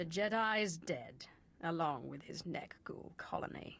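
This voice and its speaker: A female-sounding put-on character voice speaks at a fairly low pitch and a fairly slow pace. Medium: video game. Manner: cold, understated.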